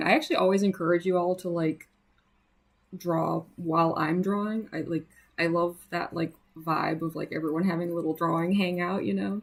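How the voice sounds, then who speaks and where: Speaking with an American accent, a woman has a fairly low pitch and ordinary pitch variation. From US Midwest. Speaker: artist livestreamer. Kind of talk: casual livestream chat while drawing. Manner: casual, many fillers.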